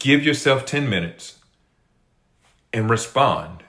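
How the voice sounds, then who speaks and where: A man with a bright, sharp tone speaks at a fairly slow pace. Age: 50s. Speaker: life coach. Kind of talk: motivational talk. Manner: earnest, repetitive emphasis.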